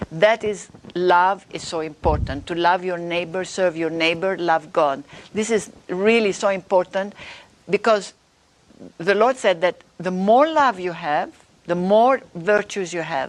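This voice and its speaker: Speaking with ordinary pitch variation, a woman has a non-native accent. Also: medium pitch for a woman, fairly slow pace. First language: not English. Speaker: author and religious speaker. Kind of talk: interview. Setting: live stream.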